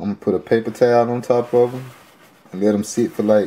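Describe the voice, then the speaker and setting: A man with a Memphis accent talks at a fairly quick pace in a dark, mellow tone with fairly even intonation. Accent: Southern US (Memphis). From Memphis, Tennessee. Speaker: home cook, cooking show host. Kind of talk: casual cooking tutorial to camera. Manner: casual, friendly. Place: kitchen. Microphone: phone near.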